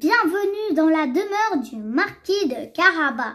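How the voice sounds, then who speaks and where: At a fairly slow pace, a woman speaks in a put-on character voice pitched extremely high. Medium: read story. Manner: sly, persuasive.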